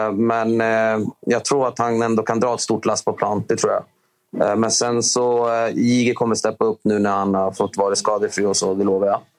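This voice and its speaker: With very even loudness, a man talks at a moderate pace in a monotone, flat intonation. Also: medium pitch for a man. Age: 30s. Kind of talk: interview.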